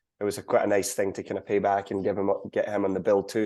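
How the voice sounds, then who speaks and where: A man with a Scottish accent against a quiet background. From Scotland. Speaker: country singer. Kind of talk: interview.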